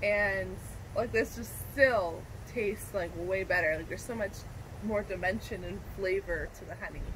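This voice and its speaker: Noticeable background noise accompanies a woman speaking at a moderate pace with big swings in loudness. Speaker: vlog co-host. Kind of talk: casual vlog chat. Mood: relaxed, cheerful. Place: garden.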